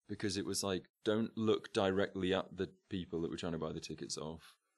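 With an English accent, a man talks at a fairly quick pace in a very deep, low voice with vocal fry and ordinary pitch variation. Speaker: friend of the host. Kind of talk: casual chat.

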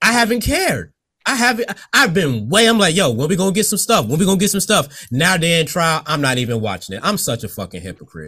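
A man's voice with vocal fry, very wide pitch swings and a fairly quick pace, on a very clean recording with a silent background. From Virginia Beach, US. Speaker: podcast host. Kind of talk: casual interview. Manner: laid back.

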